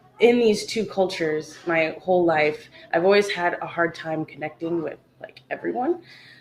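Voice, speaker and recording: Noticeable background noise is present. Over it, the voice carries lively intonation. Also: woman. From US Pacific Northwest (Mill Creek/Bothell, Washington). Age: 20s. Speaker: small business owner. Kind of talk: casual interview. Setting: home kitchen. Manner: hesitant, many fillers.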